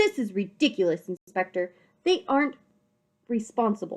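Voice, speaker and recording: Putting on a gruff character voice, a woman speaks at a moderate pace with a fairly high pitch and very wide pitch swings. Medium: read story.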